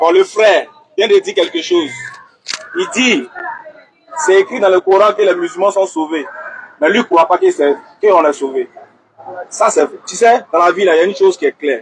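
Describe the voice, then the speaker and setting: A loud, high-pitched male voice with lively intonation, at a moderate pace with long, frequent pauses. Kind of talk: heated debate.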